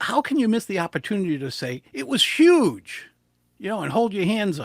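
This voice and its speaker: With a New England accent, a man speaks at a high pitch with very wide pitch swings in a dry, close sound with no echo. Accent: New England American. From US Northeast, southern New England. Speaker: public speaking coach. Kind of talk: interview. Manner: fast; animated.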